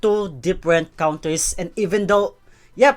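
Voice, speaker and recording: Over music in the background, a woman with a Filipino accent speaks at a fairly slow pace with lively intonation. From Philippines. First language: Tagalog. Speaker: esports commentator. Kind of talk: casual talk to camera.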